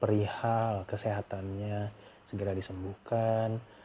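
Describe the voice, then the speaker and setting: A man's fairly low, somewhat breathy voice, dark and mellow in tone, flat and monotone, at a fairly slow pace. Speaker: podcaster. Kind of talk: casual monologue. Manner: casual.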